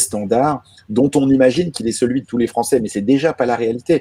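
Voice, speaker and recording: A man's voice with a dark, mellow tone. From France. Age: 30s. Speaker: journalist. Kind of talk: panel conversation. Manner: hesitant, many fillers.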